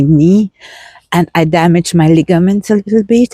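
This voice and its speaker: A woman's dark, mellow tone at a fairly slow pace, with ordinary pitch variation and a dry, close sound with no echo. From Austria. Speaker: vlogger. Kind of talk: walking vlog. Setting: outdoors. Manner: casual, unscripted.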